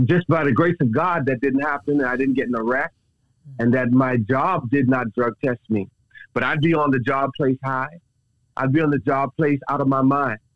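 Here a man speaks in an ordinary speaking voice at medium pitch. His pace is moderate and his intonation fairly even. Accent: American. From Texas. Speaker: minister sharing his testimony. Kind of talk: testimony. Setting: phone call.

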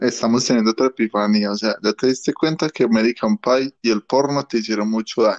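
A man with an unremarkable speaking voice talks at a fairly quick pace with hardly any pauses, medium pitch, fairly even intonation and very even loudness, in a dry, close sound with no echo against a quiet background. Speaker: podcast co-host. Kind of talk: casual chat.

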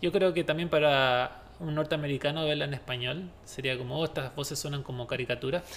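A man with a Chilean accent, fairly high in pitch, at a fairly quick pace with hardly any pauses and fairly even intonation. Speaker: podcast host. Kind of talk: casual chat.

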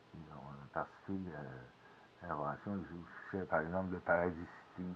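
Speaking very slowly, a man with a very deep, low pitch and vocal fry keeps his intonation fairly even. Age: 50s. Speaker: podcaster, former radio music worker. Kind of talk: casual monologue. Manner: halting, many hesitations.

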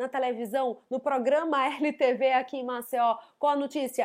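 An animated woman with a high pitch, at a moderate pace. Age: 30s. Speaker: psychologist. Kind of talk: educational monologue.

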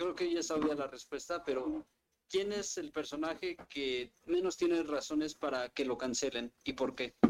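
This man has an unremarkable speaking voice, fairly high in pitch, with ordinary pitch variation and a fairly slow pace. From Mexico City. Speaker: occasional podcast co-host. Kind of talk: casual chat.

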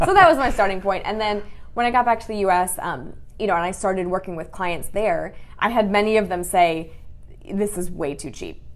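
Audible room echo surrounds a woman with a Midwestern American accent who speaks fairly quickly at a medium pitch with ordinary pitch variation. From Michigan, US. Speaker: business coach. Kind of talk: interview.

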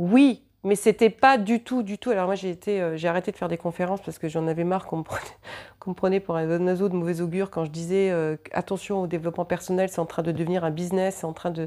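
Fairly low in pitch, this woman's voice has a dark, mellow tone. She talks at a fairly quick pace with fairly even intonation. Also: very clean recording, silent background. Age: 50s. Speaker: psychic. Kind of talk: casual chat.

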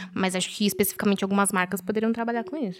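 A woman speaks at medium pitch and a very fast pace. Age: 20s. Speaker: fashion professional. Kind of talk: casual chat.

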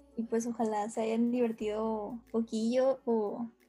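Music plays behind a woman whose fairly high voice stays monotone and flat. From Torreón, Coahuila, northern Mexico. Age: 20s. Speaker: musician and film student. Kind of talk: casual chat.

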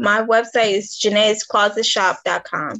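This woman's voice sits at a fairly high pitch. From Detroit, Michigan. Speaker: author and clothing designer. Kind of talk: casual interview. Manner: halting.

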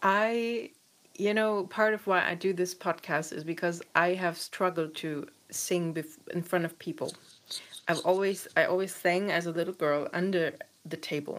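Speaking at a moderate pace in a German accent, a woman with a fairly low pitch keeps fairly even intonation in a very clean recording with a silent background. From Eastern Germany. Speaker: podcast host. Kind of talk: interview.

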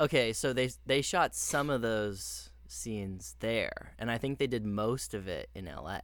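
A man speaks at a fairly slow pace. He hardly pauses at all. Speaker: podcast co-host. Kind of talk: casual chat.

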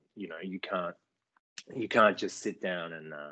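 A man with an Australian accent talks in a very deep, low pitch. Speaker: actor. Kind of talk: interview.

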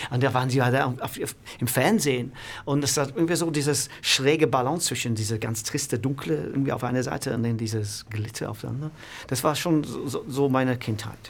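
Speaking with an English accent, a man uses a medium pitch. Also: ordinary pitch variation. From northern England, Manchester. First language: English (speaking German). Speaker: music producer and manager. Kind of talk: interview.

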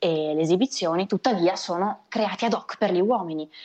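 A woman with an ordinary speaking voice talks at a moderate pace, her pitch fairly low. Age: 20s. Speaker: magician. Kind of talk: interview.

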